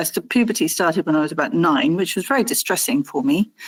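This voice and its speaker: A woman at a fairly quick pace on a very clean recording with a silent background. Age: 60s. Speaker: interviewee sharing life story. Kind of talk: interview. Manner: halting.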